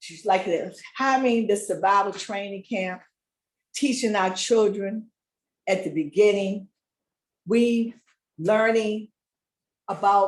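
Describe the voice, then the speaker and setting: Speaking at a very slow pace with long, frequent pauses, a woman uses a medium pitch and fairly even intonation while her loudness swings widely. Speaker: community speaker. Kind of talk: casual chat.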